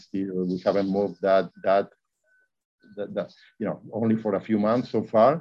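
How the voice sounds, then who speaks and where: Long, frequent pauses break up speech delivered with fairly even intonation. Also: man, fairly low pitch for a man, moderate pace. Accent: Argentinian. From Argentina. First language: Spanish. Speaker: real estate investor. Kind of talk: interview. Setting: video call.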